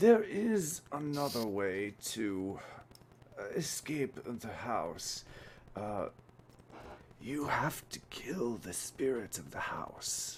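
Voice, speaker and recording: In a put-on character voice, a man whispers quietly at a very slow pace, with long, frequent pauses, big swings in loudness and clear background noise. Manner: whispering, deadly quiet.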